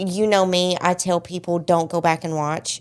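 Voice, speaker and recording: Very slowly and in a monotone, flat way, a woman talks with a strong Southern US accent. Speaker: podcast host. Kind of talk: casual chat.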